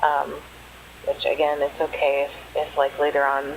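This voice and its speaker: A woman's very deep, low voice over noticeable background noise. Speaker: author and hobby artist. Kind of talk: casual voice-over for art supply unboxing. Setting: low-quality home microphone. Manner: hesitant, casual, many fillers.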